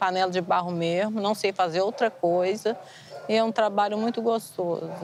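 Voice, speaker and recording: A woman's normal speaking voice at a medium pitch, with fairly even intonation and a fairly slow pace. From Brazil, Vitória, Goiabeiras. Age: 60s. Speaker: clay pot maker. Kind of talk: documentary testimony.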